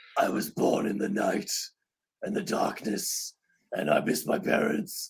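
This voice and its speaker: At a fairly slow pace, a man performs a raspy, put-on character voice. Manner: dark, brooding.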